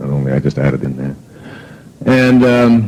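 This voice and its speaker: Noticeable background noise can be heard while the man talks. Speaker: self-help author and motivational speaker. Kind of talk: motivational talk. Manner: conversational, hesitant with fillers; gentle but firm, humorous.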